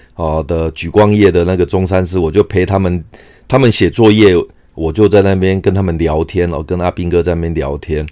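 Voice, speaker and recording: At a fairly quick pace, a man with a very deep, low pitch and a dark, mellow tone speaks with fairly even intonation. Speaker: podcaster, army veteran. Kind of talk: personal storytelling monologue. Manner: hesitant, many filler sounds.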